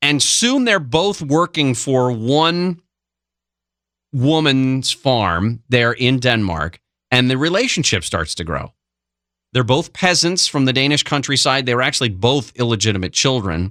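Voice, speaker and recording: Speaking fairly slowly, a man uses a medium pitch, a bright, sharp tone and lively intonation. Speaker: radio talk show host. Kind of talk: radio talk show storytelling. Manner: conversational, casual.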